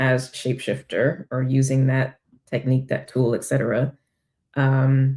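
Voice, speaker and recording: Her voice is very deep and low, with a dark, mellow tone. The woman speaks at a fairly slow pace. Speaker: spiritual life coach and tarot reader. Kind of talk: tarot reading monologue. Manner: many filler ums, loose thinking aloud.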